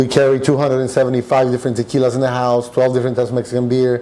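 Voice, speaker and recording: A man with a Spanish accent speaks at a very fast pace against noticeable background noise. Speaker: restaurant owner. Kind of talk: podcast interview.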